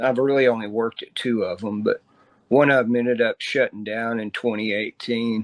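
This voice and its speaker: A man with a Texan accent speaks at a moderate pace in a medium pitch, his intonation monotone and flat. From Texas, Dallas. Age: 60s. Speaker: musician. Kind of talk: interview.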